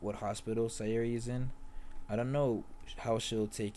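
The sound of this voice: Reading in an unforced voice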